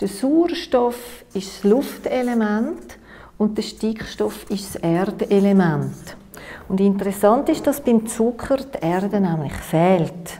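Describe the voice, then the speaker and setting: Using lively intonation, a woman with a Swiss accent speaks at a medium pitch and a very slow pace. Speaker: nutritionist and workshop lecturer. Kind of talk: workshop lecture. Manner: hesitant, many filler sounds. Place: meeting room.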